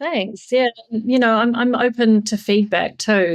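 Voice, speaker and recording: At a moderate pace, a woman is talking. Her recording is very clean and the background silent. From New Zealand. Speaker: yachting PR and marketing consultant. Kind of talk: podcast interview.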